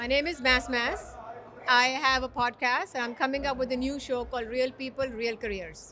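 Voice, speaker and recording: A woman projects her high, bright, sharp voice. Her intonation stays fairly even at a moderate pace. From Dubai. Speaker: podcaster and HR professional. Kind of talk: casual interview.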